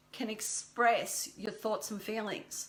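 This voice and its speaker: The speaker has an Australian accent. Noticeable background noise can be heard. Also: woman. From Australia, rural Victoria (Creswick). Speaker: business mentor. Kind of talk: live stream talk. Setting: Facebook live video, standing. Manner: rambling, self-correcting.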